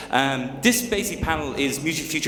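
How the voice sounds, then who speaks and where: A man with an Irish accent at a fairly quick pace, with audible room echo and noticeable background noise. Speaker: journalist, panel moderator. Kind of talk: panel discussion. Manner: fast.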